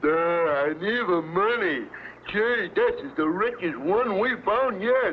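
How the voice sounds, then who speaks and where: Over clear background noise, a man does a cartoonish character voice, high for a man, with very wide pitch swings at a fairly slow pace. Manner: simple, ungrammatical.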